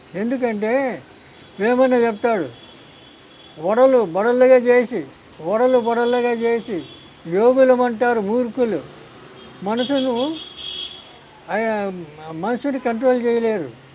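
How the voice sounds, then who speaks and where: Noticeable background noise surrounds a man speaking at an extremely high pitch. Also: ordinary pitch variation. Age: 80s+. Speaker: ayurvedic healer. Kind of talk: interview answer.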